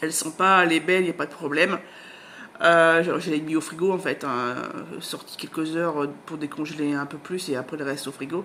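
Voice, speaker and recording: Fairly quick speech from a woman with a very deep, low pitch. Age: 40s. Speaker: book vlogger. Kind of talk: casual vlog chat. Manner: hesitant, many fillers.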